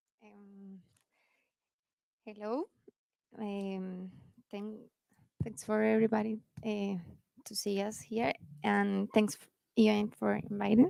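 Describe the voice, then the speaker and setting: With a Colombian accent and a dark, mellow tone, a woman of medium pitch speaks very slowly with long, frequent pauses, fairly even intonation and big swings in loudness. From Colombia, Cali. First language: Spanish. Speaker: youth program gender advisor. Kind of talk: panel talk. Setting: stage with audience. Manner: halting.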